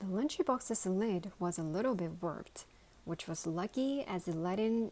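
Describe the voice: This is plain reading aloud. Lively intonation runs through it.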